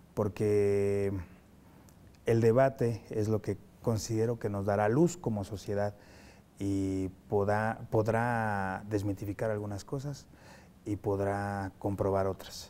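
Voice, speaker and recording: A man's very slow, fairly low-pitched voice with a dark, mellow tone, fairly even intonation, long and frequent pauses, and light background noise. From Mexico. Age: young. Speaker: TV host. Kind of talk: interview. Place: studio. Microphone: lapel.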